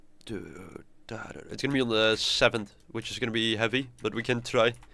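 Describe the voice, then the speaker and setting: Faint music plays in the background as a man speaks with a bright, sharp tone and fairly even intonation. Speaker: composer streamer. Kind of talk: live stream tutorial. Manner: halting, repeats words. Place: home room.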